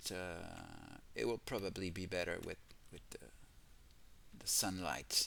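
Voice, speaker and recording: This man speaks with a French accent. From France. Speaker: gaming youtuber. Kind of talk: game walkthrough commentary. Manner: halting, many fillers.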